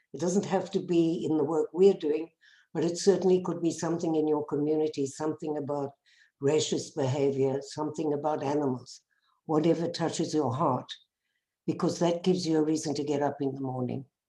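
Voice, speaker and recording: A woman with a South African accent, very deep and low in pitch, dark and mellow in tone, at a fairly quick pace with fairly even intonation. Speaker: bereaved mother and peace activist. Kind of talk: personal testimony talk.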